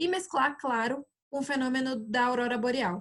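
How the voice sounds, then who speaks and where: Her voice sits high for a woman, with ordinary variation in pitch. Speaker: tourism board presenter. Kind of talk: webinar presentation to travel agents. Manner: fast.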